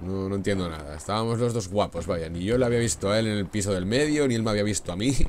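A man speaks fairly quickly as noticeable background noise runs through the clip. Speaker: gaming youtuber. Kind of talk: gameplay commentary. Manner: animated.

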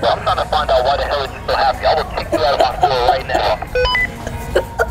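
Over loud background music, a man speaks at a moderate pace. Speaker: hidden prankster on the radio. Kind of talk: rude prank banter. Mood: provocative, mocking.

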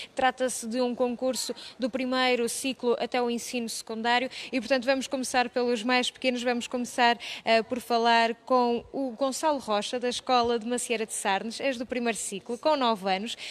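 At a moderate pace, a woman speaks in a high voice with monotone, flat intonation. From Portugal. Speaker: TV reporter interviewing students. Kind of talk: on-location interview. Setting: municipal library. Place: hall. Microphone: handheld.

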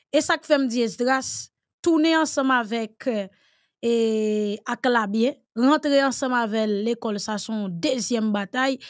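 A woman with a Haitian accent speaks at a high pitch and a fairly slow pace, her intonation lively against a quiet background. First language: Haitian Creole (speaking French). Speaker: political commentator. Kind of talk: panel discussion. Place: studio.

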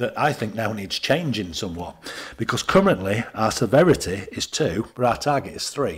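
A somewhat breathy man at a moderate pace, his pitch swinging very widely. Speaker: councillor. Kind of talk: committee meeting.

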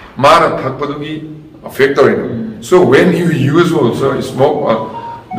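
Over light background noise and audible room echo, a man talks with ordinary pitch variation. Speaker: speaker. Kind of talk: motivational talk. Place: hall.

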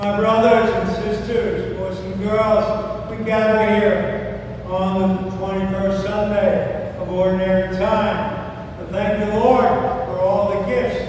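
In a space with strong room echo and noticeable background noise, a man speaks at a very slow pace in a monotone, flat intonation. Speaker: priest leading mass. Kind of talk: liturgy. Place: church. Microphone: camera far.

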